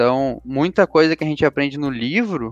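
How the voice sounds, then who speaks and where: An unremarkable speaking voice from a man, fairly quick in pace with ordinary pitch variation, in dry, close sound with no echo. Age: 20s. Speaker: credit products coordinator. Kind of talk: interview. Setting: podcast recording.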